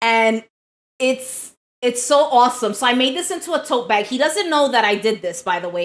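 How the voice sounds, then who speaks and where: The voice is loud, with lively intonation at a moderate pace. The recording is very clean, with a silent background. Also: woman. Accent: New York. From New York. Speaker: live streamer. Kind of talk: casual chat.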